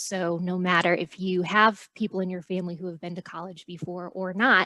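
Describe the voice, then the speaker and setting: Recorded with a dry, close sound and no echo, a woman uses a normal speaking voice at a medium pitch and a moderate pace. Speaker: college staff presenter. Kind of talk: presentation.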